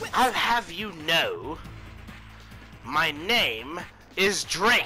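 A man's high, put-on character voice at a very slow pace, with clear music in the background. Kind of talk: comic villain overacting. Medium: game stream. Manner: taunting, theatrical, gleeful.

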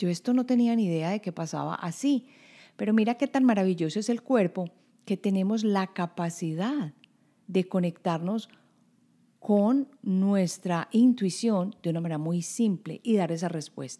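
Recorded very cleanly against silence, a woman with a dark, mellow tone talks at a fairly slow pace, her medium pitch showing ordinary variation. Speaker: podcast host, intuition coach. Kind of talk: motivational podcast monologue.

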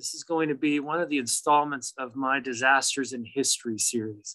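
A man's bright, sharp tone stands out against a quiet background. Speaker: presenter. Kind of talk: lecture. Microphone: video call.

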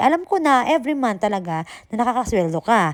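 On a very clean recording with a silent background and a dry, close sound with no echo, a woman talks at a fairly quick pace in an animated tone with lively intonation. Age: 40s. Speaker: vlogger and overseas worker. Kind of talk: casual vlog monologue. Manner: animated, frequent laughter.

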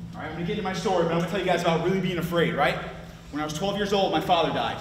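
A man with an American accent speaks at a high pitch. Audible room echo and noticeable background noise surround him. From Clifton Park, upstate New York. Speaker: recovering addict and peer support specialist. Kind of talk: testimony. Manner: animated.

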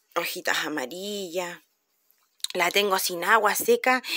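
In a Chilean accent, a woman speaks with lively intonation over a quiet background. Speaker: vlogger. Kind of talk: casual vlog talk to camera. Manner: animated. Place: garden. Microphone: phone near.

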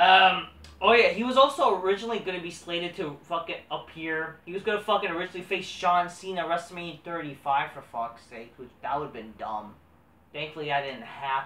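With audible room echo, a man talks fairly quickly in a high pitch and lively intonation. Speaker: wrestling commentary vlogger. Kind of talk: casual solo commentary. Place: home room. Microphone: camera far.

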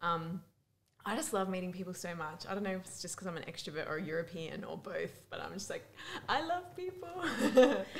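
Woman with an Australian accent, fairly quick pace, light background noise. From Melbourne, Australia. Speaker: youth ministry worker and speaker. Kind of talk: casual interview. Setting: conference. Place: booth. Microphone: studio mic.

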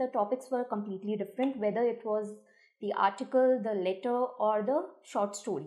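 A woman talks at a moderate pace with ordinary pitch variation. The background is quiet. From India. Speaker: school English teacher. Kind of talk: exam paper analysis. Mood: calm, explanatory. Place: office.

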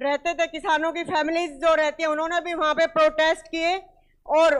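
Against a quiet background, a woman speaks in an extremely high pitch. Her intonation is monotone and flat, and her pace fairly slow. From India, Haryana (Hisar district); Haryana, India. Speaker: speaker. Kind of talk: public speech. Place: hall. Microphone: handheld.

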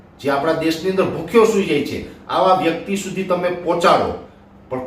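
Audible room echo surrounds the speaker. He is a man with a high pitch. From Gujarat, Junagadh district; Gujarat. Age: 40s. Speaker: weather forecaster. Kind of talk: video monologue. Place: home room.

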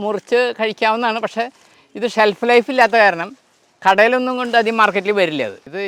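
The sound is dry and close with no echo. A man speaks at a high pitch. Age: 60s. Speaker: retired bank officer turned fruit farmer. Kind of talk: farm tour explanation.

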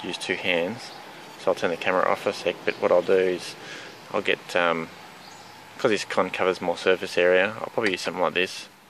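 A man talks at a fairly quick pace. His pitch is low, and his tone is fairly bright.

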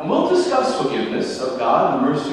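Fast speech from a man, big pitch swings, strong room echo

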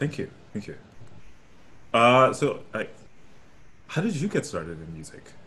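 At a moderate pace, a man with an American accent speaks in a bright, sharp tone with vocal fry, very wide pitch swings, big swings in loudness, and long, frequent pauses. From New York City (Brooklyn). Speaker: opera singer. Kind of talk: casual chat. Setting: video call. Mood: warm, friendly. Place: home room. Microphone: headset.

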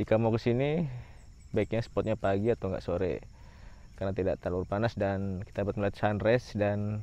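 In a dry sound with no echo, a man talks at a very fast pace with a fairly low pitch, ordinary pitch variation and a dark, mellow tone. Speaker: travel vlogger. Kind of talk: casual vlog chat. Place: open country. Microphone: phone near.

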